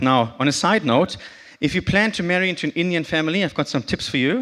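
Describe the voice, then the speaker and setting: In a German accent, a man talks at a fairly quick pace with lively intonation on a very clean recording with a silent background. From northern Germany (Bremen). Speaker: conference speaker. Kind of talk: short talk to audience.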